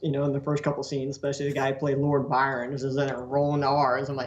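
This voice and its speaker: A man with a Southern US accent speaks at a fairly high pitch amid noticeable background noise. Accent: southern drawl. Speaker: poster artist. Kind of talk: casual chat. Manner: fast.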